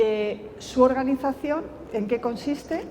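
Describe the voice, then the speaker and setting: A woman with a Castilian accent speaks at a fairly slow pace, her fairly high pitch varying in an ordinary way. Noticeable background noise and audible room echo are present. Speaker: education professor. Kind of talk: lecture. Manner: soft-spoken.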